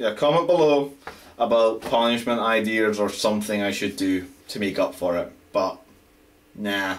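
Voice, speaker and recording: A man speaks in a Scottish accent at a moderate pace with ordinary pitch variation. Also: medium pitch for a man. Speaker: amateur writer. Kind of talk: casual vlog talk to camera.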